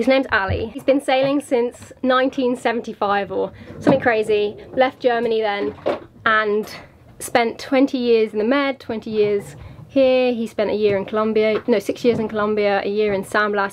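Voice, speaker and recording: Noticeable background noise sits behind a woman's voice. She keeps a moderate pace and fairly even intonation. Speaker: sailing vlogger. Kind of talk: casual vlog chat. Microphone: phone near.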